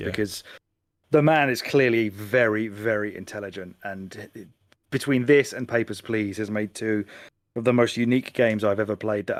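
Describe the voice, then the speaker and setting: The recording is very clean, with a silent background, and a man speaks at a moderate pace in a fairly low voice. His intonation is fairly even, and he has an unremarkable speaking voice. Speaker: podcast co-host. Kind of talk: casual podcast conversation.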